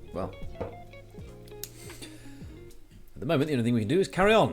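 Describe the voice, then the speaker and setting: The tone is calm and relaxed. Music plays in the background. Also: man. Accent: British. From British. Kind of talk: casual livestream talk to viewers. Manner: calm, chill, relaxed.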